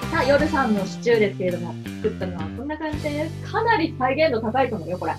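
With clear music in the background, a woman speaks at a very fast pace. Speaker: voice actor. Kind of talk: casual web radio variety talk. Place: home room.

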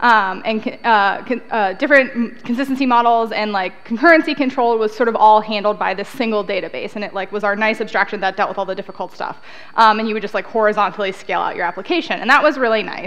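A woman talks at a very fast pace, and her pitch varies in an ordinary way. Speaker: conference speaker. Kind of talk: lecture. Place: hall.

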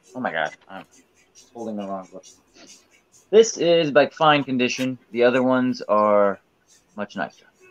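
Faint music plays behind a man who speaks with big swings in loudness. He takes long, frequent pauses. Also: moderate pace. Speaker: comic auction seller. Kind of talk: live auction stream. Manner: casual, hedging. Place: home room. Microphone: webcam.

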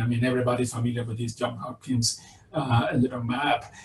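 A man with a Spanish accent, with audible room echo. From Venezuela. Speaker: virology professor. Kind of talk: lecture. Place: home room. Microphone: webcam.

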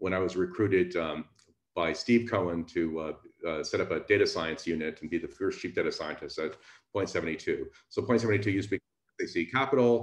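A man at a moderate pace, audible room echo, quiet background. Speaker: speaker. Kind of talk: lecture. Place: home room. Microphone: webcam.

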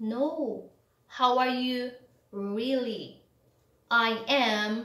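Someone with a non-native accent speaks at a very slow pace, with audible room echo over a quiet background. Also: woman, high pitch for a woman. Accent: non-native English speaker. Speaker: English tutor. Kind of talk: English lesson to camera. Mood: acts out emotions. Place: home room.

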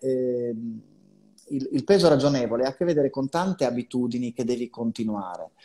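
Dark and mellow in tone, a man speaks at a moderate pace with lively intonation. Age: 50s. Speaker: psychologist; guest. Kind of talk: live video chat interview. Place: home room. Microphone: earbuds.

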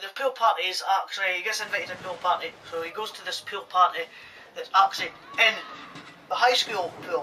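This man talks at a fairly quick pace in a bright, sharp tone. His pitch is high, with ordinary variation.

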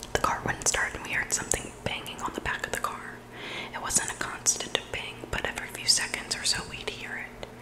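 A soft-spoken woman whispers at a fairly quick pace over loud background noise. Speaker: ASMR storyteller. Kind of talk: reading scary stories aloud. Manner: soft intimate whisper into microphone. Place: home room. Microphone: studio mic.

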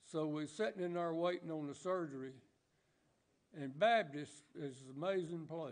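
A man's fairly high voice with ordinary pitch variation and long, frequent pauses. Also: moderate pace. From US South. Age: 80s+. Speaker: church member. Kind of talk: testimony. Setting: church. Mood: earnest, reflective. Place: church.

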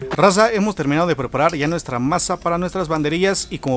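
Pitch varies in an ordinary way. Light background noise can be heard. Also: man. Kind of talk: tutorial. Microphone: phone near.

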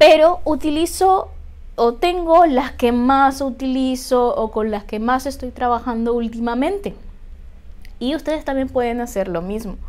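A woman speaks at a high pitch with lively intonation. Her pace is fairly slow. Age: 30s. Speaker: witchcraft YouTuber and author; spiritual practice vlogger. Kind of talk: tutorial. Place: home room.

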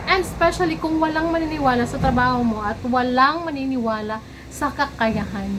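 There is audible room echo and noticeable background noise. A woman with a high pitch talks at a moderate pace with lively intonation. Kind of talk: casual vlog monologue.

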